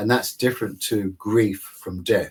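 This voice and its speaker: A man with an unremarkable speaking voice keeps a moderate pace and ordinary pitch variation. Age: 60s. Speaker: psychologist and author. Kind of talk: interview.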